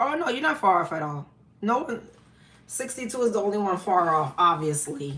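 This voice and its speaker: A woman with a New York accent talks at a moderate pace and a medium pitch. Her tone is animated, with very wide pitch swings. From New York, the Bronx. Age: 50s. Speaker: live-stream host. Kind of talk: casual live-stream chat. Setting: live stream.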